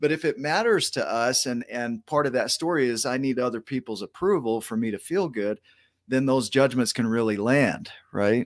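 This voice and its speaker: Heard on a very clean recording with a silent background, a man speaks at medium pitch with a slight Oklahoma accent. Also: ordinary pitch variation, dry, close sound with no echo. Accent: minor Oklahoma drawl. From Oklahoma, US. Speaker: show host. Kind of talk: interview chat.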